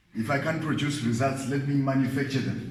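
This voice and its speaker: Speaking with a non-native accent and fairly even intonation, a man is heard with audible room echo and noticeable background noise. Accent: non-native English pronunciation. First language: not English. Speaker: Bible teacher. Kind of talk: Bible study lecture.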